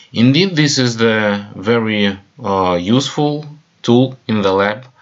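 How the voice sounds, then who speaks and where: The speaker has a Russian accent and ordinary pitch variation. The pace is very slow. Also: man, medium pitch for a man. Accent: non-native English, Russian. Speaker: chemical equipment presenter. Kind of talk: webinar presentation. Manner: halting, many fillers.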